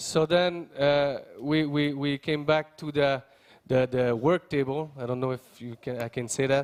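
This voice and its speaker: At a fairly slow pace, a man with a Quebec accent speaks at a fairly high pitch with fairly even intonation. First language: French. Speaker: member of parliament. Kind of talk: conference speech. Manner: halting, many fillers and repeats.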